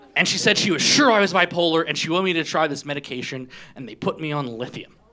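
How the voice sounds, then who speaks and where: Over noticeable background noise, a man with an American accent talks very fast at a fairly high pitch with lively intonation. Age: 40s. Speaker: stand-up comedian. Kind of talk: stand-up. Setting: stage with audience.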